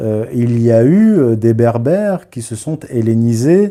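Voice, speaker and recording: The recording is very clean, with a silent background. A man talks in a dark, mellow tone at medium pitch. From born in Morocco, raised in Paris and its suburbs. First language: Berber (Amazigh) (speaking French). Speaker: historian and author. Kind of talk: live stream commentary. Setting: live stream. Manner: hesitant, many filler sounds.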